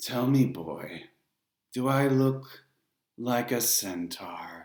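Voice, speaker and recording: A put-on character voice sits at a low-to-middle pitch. It moves at a very slow pace. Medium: read story. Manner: smooth, condescending.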